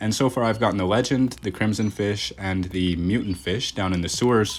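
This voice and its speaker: A man with a Canadian Maritime accent speaks in a very deep, low voice with ordinary pitch variation. Noticeable background noise runs under the recording. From Nova Scotia, Canada. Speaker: gaming YouTuber. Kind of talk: gameplay commentary. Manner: fast; casual, chatty.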